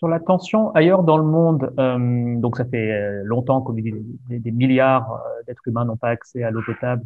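With ordinary pitch variation, a man speaks at a fairly slow pace over a quiet background. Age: 30s. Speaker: podcast host. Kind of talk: interview conversation. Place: home room. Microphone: video call.

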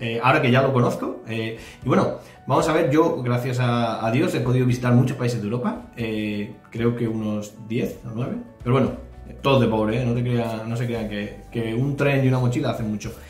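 Over faint music in the background and audible room echo, a man talks at a moderate pace with fairly even intonation. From Spain. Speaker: reaction youtuber. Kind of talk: casual reaction commentary.

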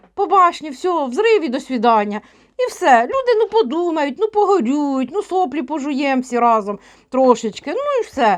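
A woman with a high pitch talks at a moderate pace, her pitch swinging very widely. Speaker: tarot reader and witch vlogger. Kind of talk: casual monologue vlog with tarot reading.

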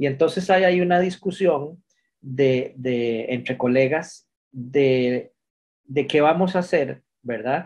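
A man with a Costa Rican accent, a fairly high pitch, ordinary pitch variation and a very slow pace, against a quiet background. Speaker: pharmacist. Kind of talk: webinar comment.

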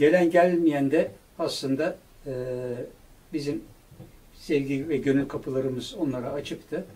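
The voice has a dark, mellow tone. It belongs to a man. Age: 70s. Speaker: producer and director, longtime friend of a late musician; interviewee. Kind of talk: interview conversation. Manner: halting with filler sounds. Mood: reflective, heartfelt remembrance. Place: studio.

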